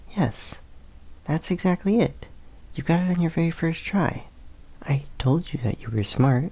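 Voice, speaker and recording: A man talks at a moderate pace in a somewhat breathy voice with a gentle tone. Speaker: college student tutor in the roleplay. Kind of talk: ASMR roleplay, classmate helping you study. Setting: library study corner. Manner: soft, gentle, reassuring.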